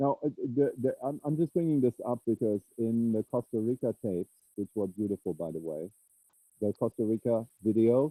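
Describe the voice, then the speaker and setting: A man with a dark, mellow tone and a medium pitch speaks at a moderate pace with lively intonation, in a dry, close sound with no echo. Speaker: satsang participant asking a question. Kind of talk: question in an online group talk. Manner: loud; halting.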